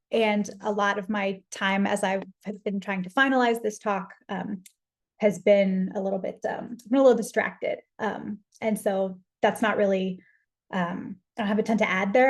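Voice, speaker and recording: Somewhat breathy and fairly even in intonation, a woman speaks at a medium pitch in an American accent. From US South. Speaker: philosopher. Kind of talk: lecture. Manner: fast.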